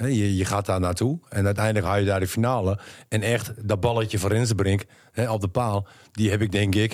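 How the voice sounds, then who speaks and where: A plain, everyday voice talks at a fairly quick pace with very even loudness and fairly even intonation. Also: man, fairly low pitch for a man. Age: 50s. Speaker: podcast co-host. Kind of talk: casual chat.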